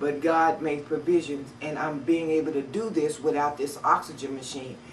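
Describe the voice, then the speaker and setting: Over noticeable background noise, a woman with a very deep, low pitch talks at a moderate pace with fairly even intonation. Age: 50s. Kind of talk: personal testimony to camera. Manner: halting.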